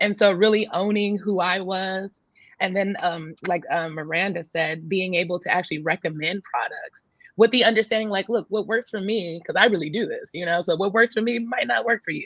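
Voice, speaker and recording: A woman talks at a fairly quick pace. She has a normal speaking voice of medium pitch. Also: ordinary pitch variation. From San Francisco, California. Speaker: fitness entrepreneur. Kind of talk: panel interview.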